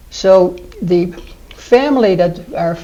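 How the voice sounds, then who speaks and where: A woman with a Dutch accent, her medium pitch moving in an ordinary way, over noticeable background noise. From Netherlands. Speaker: retirement community resident. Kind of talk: interview.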